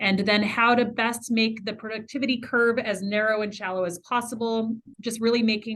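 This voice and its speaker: At a fairly quick pace, a woman talks in a fairly high pitch with fairly even intonation. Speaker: meeting participant. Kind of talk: group meeting presentation. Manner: fast.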